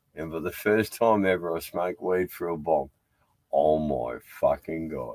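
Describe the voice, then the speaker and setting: A speaker with a strong Australian accent and ordinary pitch variation. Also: man. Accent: broad Australian. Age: 60s. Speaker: live stream host, sailor. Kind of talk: casual chat. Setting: aboard a boat tied to a jetty.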